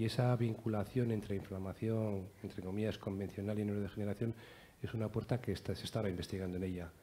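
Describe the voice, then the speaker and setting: A man with a fairly low, dark, mellow voice talks at a very fast pace in a flat monotone, sounding somewhat breathy over light background noise. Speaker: neurologist; panelist. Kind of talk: panel discussion. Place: hall. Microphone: headset.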